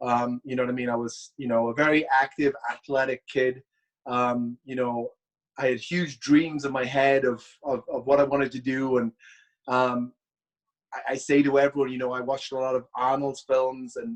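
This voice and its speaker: Speaking in a Welsh accent, a man talks at a moderate pace. His medium-pitched voice has a dry, close sound with no echo. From Wales. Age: 30s. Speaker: bodybuilder and former pro wrestler. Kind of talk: casual interview chat. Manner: hesitant, repeats words.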